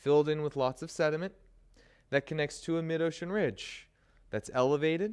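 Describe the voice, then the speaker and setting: The recording is very clean, with a silent background. A man speaks at a fairly high pitch. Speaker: college instructor. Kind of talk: lecture. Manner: animated.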